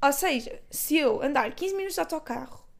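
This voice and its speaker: A woman talks in an animated tone at a fairly slow pace. Her pitch swings very widely. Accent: European Portuguese. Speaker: podcaster. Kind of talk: casual solo monologue. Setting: bedroom at home.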